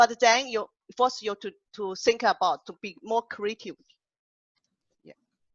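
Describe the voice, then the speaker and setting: A woman with a strong Chinese accent, fairly high in pitch, fairly slow, with long and frequent pauses, ordinary pitch variation and big swings in loudness. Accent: heavy Chinese. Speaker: poet and workshop host. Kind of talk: panel discussion on Zoom. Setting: video call. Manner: halting.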